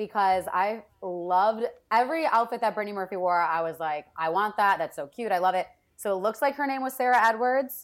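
An ordinary speaking voice with an American accent, lively intonation and a fairly quick pace. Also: woman, medium pitch for a woman. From Wisconsin, US Midwest. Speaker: entertainment marketing producer. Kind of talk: casual chat.

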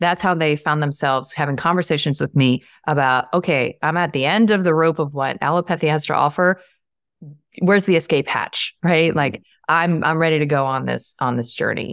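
A woman with a very deep, low pitch talks at a fairly quick pace with ordinary pitch variation, in a very clean recording with a silent background and a dry, close sound with no echo. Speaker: holistic psychiatrist and author. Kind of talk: casual interview conversation.

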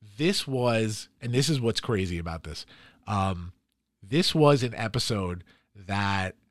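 A man with a plain, everyday voice, fairly low in pitch, at a fairly slow pace with ordinary pitch variation, in a very clean recording with a silent background. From New York, Queens and Long Island. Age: 40s. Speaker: podcast co-host. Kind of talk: casual chat.

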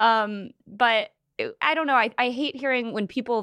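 There is a quiet background as a woman speaks in an American accent. Her tone is bright and sharp. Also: dry, close sound with no echo. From San Diego, California. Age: 20s. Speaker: cancer patient and podcaster. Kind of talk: casual interview chat. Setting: studio.

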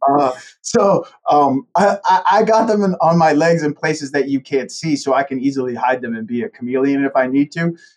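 Lively intonation marks a man's plain, everyday voice at a moderate pace. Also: fairly high pitch for a man. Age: 40s. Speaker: accounting firm partner. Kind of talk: casual interview.

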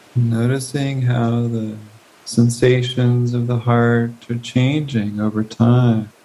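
Very slow and monotone, with flat intonation, the man speaks in a dark, mellow, calm, soothing tone. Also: medium pitch for a man. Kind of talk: guided meditation. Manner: slow, calm, soothing, with long pauses between gentle prompts; soft-spoken, unhurried, inviting.

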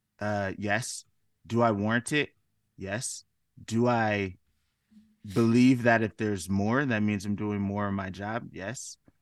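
A man with an American accent speaks at a fairly low pitch, with long, frequent pauses. The sound is dry and close with no echo over a quiet background. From US West Coast, Washington State. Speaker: musician, filmmaker and advocate. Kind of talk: interview conversation. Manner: hesitant, many fillers.

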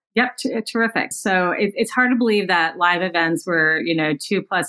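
A woman with an unremarkable speaking voice talks at a moderate pace, her pitch fairly low and her pitch variation ordinary. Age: 50s. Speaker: podcast host and communications consultant. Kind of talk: casual interview. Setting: remote call.

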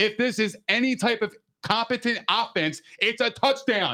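A man's high-pitched, raised and projected voice, bright and sharp in tone, with ordinary pitch variation. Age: 30s. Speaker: podcast co-host. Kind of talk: casual chat. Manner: animated.

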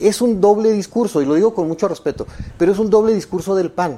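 Very fast speech comes in a dark, mellow tone. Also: man. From Chihuahua, Mexico. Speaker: politician. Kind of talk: political debate.

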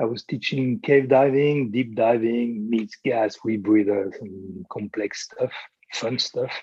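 Speaking with a French accent, a man uses a medium pitch, ordinary pitch variation and a fairly slow pace. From France. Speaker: fitness coach and former navy trainer. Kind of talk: interview. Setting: remote call from abroad. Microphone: poor audio quality.

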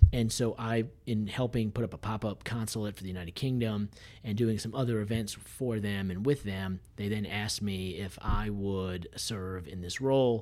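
A man speaks at a moderate pace with a fairly low pitch and fairly even intonation. It is a normal speaking voice. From Massachusetts. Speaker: lawyer and honorary consul. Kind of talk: roundtable discussion.

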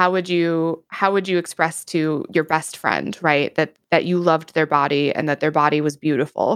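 With an Upper Midwest accent, a woman with a very deep, low pitch talks at a moderate pace with hardly any pauses and fairly even intonation. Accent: Upper Midwest American. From US Midwest, Wisconsin. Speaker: streamer and content creator. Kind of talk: casual interview chat.

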